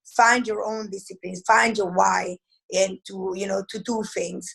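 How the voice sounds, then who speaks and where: A woman with a strong Italian accent at a moderate pace. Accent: heavy Italian. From Italy. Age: 40s. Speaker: network marketing entrepreneur. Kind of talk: interview. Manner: halting.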